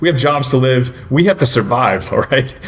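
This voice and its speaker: Fairly quick speech from a man, ordinary pitch variation, and noticeable background noise. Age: 30s. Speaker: dating commentator. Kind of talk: casual discussion. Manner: conversational with many fillers.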